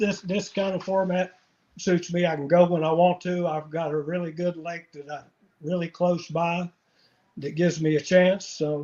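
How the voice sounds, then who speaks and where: The delivery is monotone and flat, in an Appalachian accent. The pace is moderate. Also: man, high pitch for a man. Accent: Southern Appalachian American. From US South, North Carolina mountains. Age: 60s. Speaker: angler. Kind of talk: casual interview.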